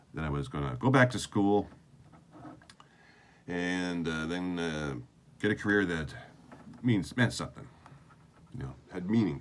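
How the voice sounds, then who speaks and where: With a Canadian accent, a man with a very deep, low pitch talks at a moderate pace, his intonation lively and broken by long, frequent pauses. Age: 60s. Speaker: video diarist, former army sergeant. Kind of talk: video diary monologue. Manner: halting, with many fillers.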